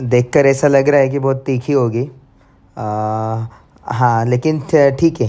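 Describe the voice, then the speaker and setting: Music in the background under a man's medium-pitched voice with fairly even intonation. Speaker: vlogger and painter. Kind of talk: casual vlog narration.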